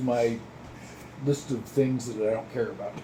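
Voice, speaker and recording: With fairly even intonation, a man talks at a moderate pace amid audible room echo. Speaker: grandfather. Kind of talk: casual chat. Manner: calm.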